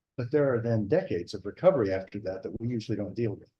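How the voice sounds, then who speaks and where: Soft-spoken and somewhat breathy, a man talks with an American accent. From US. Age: 60s. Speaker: fire service veteran and institute director. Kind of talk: symposium presentation. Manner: halting.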